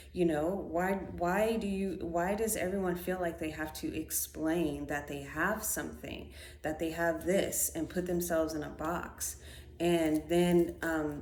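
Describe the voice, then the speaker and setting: A woman talks at a fairly slow pace with audible room echo. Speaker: spiritual podcaster. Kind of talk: casual monologue. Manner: hesitant, many fillers.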